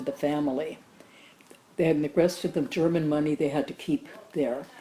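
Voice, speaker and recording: Noticeable background noise sits behind a woman whose very deep, low pitch moves with fairly even intonation. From Germany. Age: 80s+. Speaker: Holocaust survivor. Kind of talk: interview answer.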